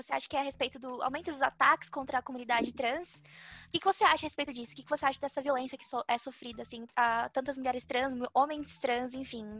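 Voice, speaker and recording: A woman talks very fast in a high, bright and sharp voice with fairly even intonation. The sound is dry and close, with no echo. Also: big swings in loudness. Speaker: podcast co-host. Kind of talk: casual chat.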